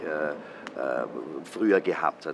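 The voice belongs to a man. Noticeable background noise can be heard behind him. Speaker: theater director. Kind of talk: interview answer. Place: garden.

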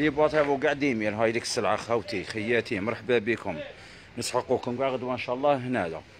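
A man talks at a moderate pace, his pitch showing ordinary variation, with noticeable background noise behind him. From Algeria. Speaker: shop seller. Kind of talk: live sales stream. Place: shop. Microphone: phone near.

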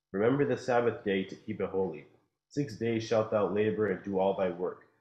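The speech moves at a moderate pace. Room echo is audible, while the background stays quiet. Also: man. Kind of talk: scripture reading aloud. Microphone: video call.

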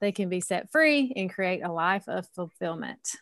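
A woman's voice is heard. Her accent is Southern US. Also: quiet background. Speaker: podcast host and women's coach. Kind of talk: casual group chat.

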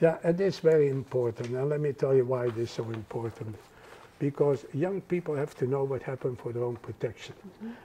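Light background noise sits behind a man with a Dutch accent who talks at a fairly quick pace, somewhat breathy, with a dark, mellow tone and ordinary pitch variation. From Netherlands. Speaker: Holocaust survivor. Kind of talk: interview answer. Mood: earnest, reflective. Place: home room. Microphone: lapel.

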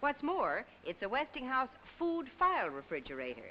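A woman talks in an upbeat tone at a moderate pace. Noticeable background noise sits behind her. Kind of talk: 1950s TV commercial, scripted sales pitch. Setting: vintage archive commercial. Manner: bright, upbeat, chirpy salesman patter; brisk, polished, formal announcer delivery.

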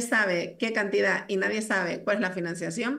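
A woman's medium-pitched voice in a Canarian accent, bright and sharp in tone with vocal fry and fairly even intonation, against a quiet background. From Canary Islands, Telde (Gran Canaria); Canary Islands, Spain. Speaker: politician. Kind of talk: political debate. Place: home room.

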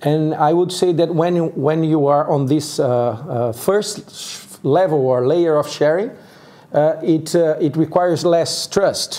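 Very slow and at very even loudness, a man with a fairly high pitch speaks in a Portuguese accent. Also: ordinary pitch variation. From Brazil, Sao Paulo. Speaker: co-working community organizer; guest. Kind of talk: interview. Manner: halting. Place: studio. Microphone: lapel.

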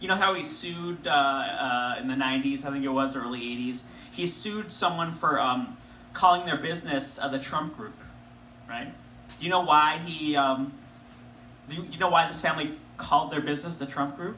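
A man is speaking with audible room echo. Light background noise sits behind him. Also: ordinary pitch variation, moderate pace. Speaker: comedian or storyteller. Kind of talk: stand-up comedy reading. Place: stage. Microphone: camera far.

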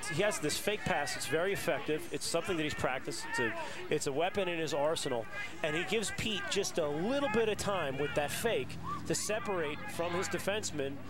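Against noticeable background noise, a man with a high voice talks at a fairly quick pace, his tone relaxed and his intonation lively. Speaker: color commentator, lacrosse analyst. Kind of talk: live sports commentary. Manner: relaxed, wry, opinionated analysis.

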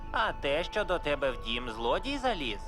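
A cartoonish character voice at a moderate pace over loud background music

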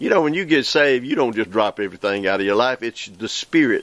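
A man speaks at a medium pitch. The sound is dry, with no echo. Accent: Southern US. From US South, Mississippi. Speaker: evangelist preacher. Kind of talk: preaching show monologue. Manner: animated. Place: forest.

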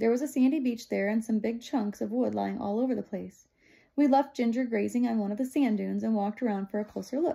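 What you hear is a reading voice that is unforced.

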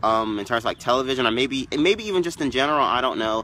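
His tone is bright and sharp, and the man keeps a fairly quick pace. The sound is dry with no echo, with light background noise. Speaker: vlogger on a live stream. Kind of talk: casual vlog chat. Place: garden. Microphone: phone near.

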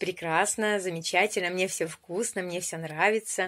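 A woman is speaking here. Her tone is bright and sharp. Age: 50s. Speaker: weight-loss program participant. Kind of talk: video testimony; casual vlog chat. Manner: animated. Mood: cheerful, pleased. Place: home room. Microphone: phone near.

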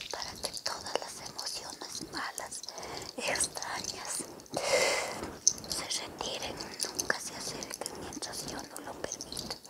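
A woman whispering at a very slow pace. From Ecuador. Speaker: spiritual healer. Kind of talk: guided spiritual cleansing, ASMR healing session. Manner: soft-spoken, whispering, slow. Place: home room.

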